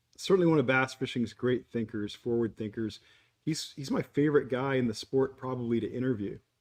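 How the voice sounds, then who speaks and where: This man has an ordinary speaking voice and talks fairly quickly. His voice sits at a medium pitch that varies in an ordinary way. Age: 60s. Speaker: podcast host. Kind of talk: casual chat.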